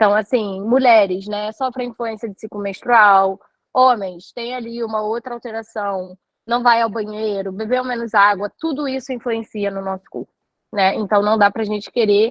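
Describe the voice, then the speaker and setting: Here, a woman has an ordinary speaking voice and a fairly high pitch. She keeps a moderate pace with fairly even intonation. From Rio de Janeiro, Brazil. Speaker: nutritionist. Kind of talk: live online talk. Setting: live stream.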